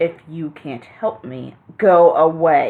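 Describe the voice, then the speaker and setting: Growling in a put-on character voice, a woman speaks at a very slow pace. Her pitch is fairly low, with ordinary variation. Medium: cartoon. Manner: curt, commanding.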